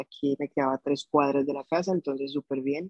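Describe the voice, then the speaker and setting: The man has a plain, everyday voice at a moderate pace. He shows ordinary pitch variation. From Colombia, Bogotá. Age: 20s. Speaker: musician. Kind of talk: interview conversation.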